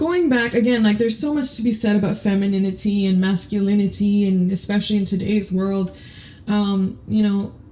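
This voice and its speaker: In a room with audible echo, a woman speaks at a medium pitch and a fairly quick pace, her intonation fairly even and her loudness very even. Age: 30s. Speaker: podcast host. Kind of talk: casual monologue. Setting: home closet. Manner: rambling, hesitant with repetitions.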